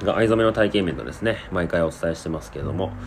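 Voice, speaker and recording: A man with a very deep, low voice speaks at a fairly quick pace. His pitch swings very widely, and background noise is noticeable. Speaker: podcast host. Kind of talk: casual monologue.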